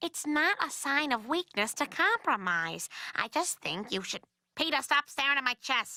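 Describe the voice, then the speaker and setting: A woman's cartoonish character voice, high and warm, with very wide pitch swings. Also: moderate pace. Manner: reasonable, warm.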